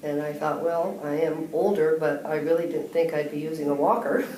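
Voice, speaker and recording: The voice moves at a moderate pace with fairly even intonation. Noticeable background noise and audible room echo fill the recording. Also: woman. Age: 60s. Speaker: patient. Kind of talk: testimony.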